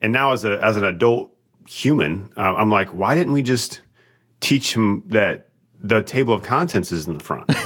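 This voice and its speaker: The intonation is lively. The pace is moderate. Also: man, medium pitch for a man. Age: 30s. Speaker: church elder and business executive. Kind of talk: casual chat. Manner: halting.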